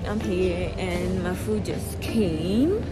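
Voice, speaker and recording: Loud music plays in the background as a woman speaks. The sound is dry with no echo. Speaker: travel vlogger. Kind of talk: casual vlog chat. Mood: excited, mixed feelings. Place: station. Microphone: phone near.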